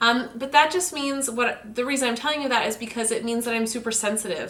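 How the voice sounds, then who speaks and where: A woman's high-pitched voice, bright and sharp in tone, with ordinary pitch variation. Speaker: self-help vlogger. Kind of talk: casual vlog monologue.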